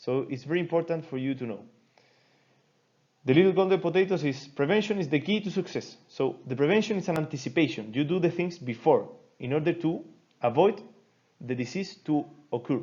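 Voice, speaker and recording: The speaker has a Chilean Spanish accent and lively intonation. The pace is fairly quick, broken by long, frequent pauses. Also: man, high pitch for a man. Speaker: doctor teaching a medical seminar. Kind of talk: lecture. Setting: recorded online class. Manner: halting.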